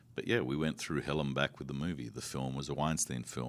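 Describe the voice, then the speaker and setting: The man speaks in an Australian accent with a very deep, low pitch and vocal fry. His intonation stays fairly even. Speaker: film director. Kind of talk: interview.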